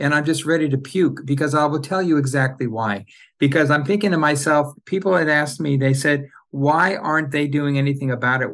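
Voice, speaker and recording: With an American accent, a man talks at a fairly quick pace in a fairly high pitch with ordinary pitch variation against a quiet background. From Southern California, Orange County. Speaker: insurance company CEO. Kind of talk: casual chat.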